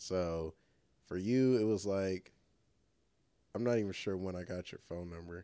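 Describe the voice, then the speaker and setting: A very deep, low male voice carries a dark, mellow tone. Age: 20s. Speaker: podcast co-host and filmmaker. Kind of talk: casual chat. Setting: living room.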